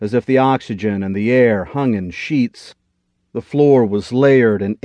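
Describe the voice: Over a quiet background, the text is read aloud plainly, the pitch rising and falling in an ordinary way.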